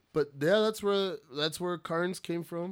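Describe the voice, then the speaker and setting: A man speaks in an American accent on a very clean recording with a silent background. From El Paso, Texas. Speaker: stand-up comedian and promoter. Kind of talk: casual chat. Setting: home studio. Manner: animated.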